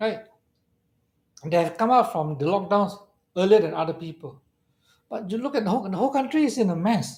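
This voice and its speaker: A man with a high-pitched voice speaks in an animated tone, his pitch varying in an ordinary way. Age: 60s. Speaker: fund manager. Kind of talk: interview on a live stream.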